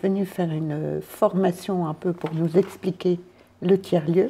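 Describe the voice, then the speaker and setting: A woman's fairly low voice moves at a very slow pace with fairly even intonation. Music plays in the background. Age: 60s. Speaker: volunteer running a community space. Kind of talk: interview.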